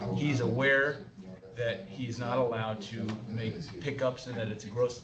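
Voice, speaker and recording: A man at a medium pitch and moderate pace, with music in the background and audible room echo. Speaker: board member. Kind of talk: public board meeting deliberation. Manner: hesitant, many fillers.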